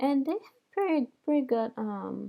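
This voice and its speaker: A woman talks with a non-native accent. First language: not English. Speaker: dental exam candidate reviewing study program. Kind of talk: screen-share product review. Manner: hesitant, many fillers.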